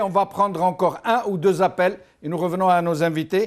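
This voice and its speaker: At a moderate pace, a man with a high voice for a man speaks with fairly even intonation. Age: 60s. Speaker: call-in show host. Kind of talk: call-in radio/TV discussion.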